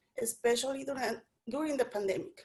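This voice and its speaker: A woman speaks with a Spanish accent. Her pitch is high, with ordinary variation. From Mexico. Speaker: immigrant woman sharing experience. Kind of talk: testimony. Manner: halting, frequent self-repeats.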